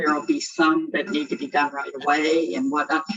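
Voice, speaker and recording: A woman's fairly low-pitched voice over music in the background. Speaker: board meeting chair. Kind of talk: board meeting discussion. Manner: loud. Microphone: computer mic, headphones without microphone.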